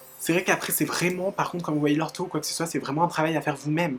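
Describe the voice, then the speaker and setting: Music plays in the background as a woman talks. Her voice is very deep and low, and her pace very fast. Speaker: YouTuber. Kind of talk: casual talk to camera. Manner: upbeat, chatty.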